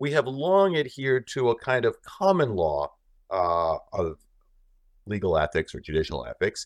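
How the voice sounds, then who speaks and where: A man at a moderate pace, with a dry, close sound, no echo, and a quiet background. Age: 50s. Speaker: law professor. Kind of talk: casual chat.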